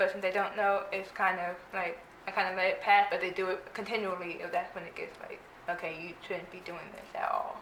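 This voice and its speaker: A woman's medium-pitched voice, monotone and flat in intonation, at a fairly quick pace with big swings in loudness, amid audible room echo and noticeable background noise. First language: American Sign Language. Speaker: interviewee with hearing loss. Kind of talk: casual interview. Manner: fast.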